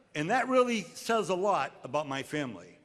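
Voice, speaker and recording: With a New England accent, a man speaks in very wide pitch swings. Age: 60s. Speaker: commencement speaker. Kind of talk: commencement speech.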